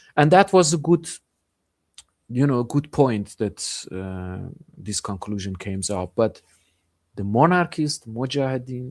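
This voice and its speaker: Over a very clean recording with a silent background, a man of medium pitch talks at a fairly slow pace, his pitch swinging very widely and his loudness shifting greatly, with long, frequent pauses. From Iranian Kurdistan (Sanandaj). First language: Kurdish or Persian. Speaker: journalist. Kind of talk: interview. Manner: halting, many fillers.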